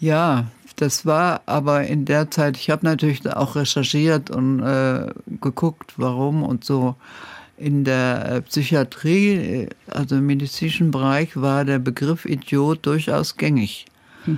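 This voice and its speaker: A woman speaks in a very deep, low voice at very even loudness. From Germany, Saxony-Anhalt. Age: 80s+. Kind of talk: radio interview. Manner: hesitant with frequent fillers.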